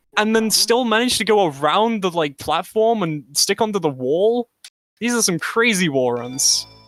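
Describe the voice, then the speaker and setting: The speaker has an animated tone and a moderate pace. Music plays in the background. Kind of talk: live commentary. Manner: stuttering.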